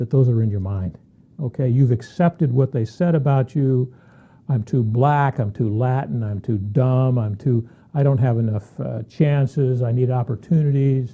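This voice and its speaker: Somewhat breathy and dark, mellow in tone, a man talks at medium pitch and moderate pace with ordinary pitch variation. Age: 60s. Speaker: tax consultant. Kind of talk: opinion monologue. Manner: animated.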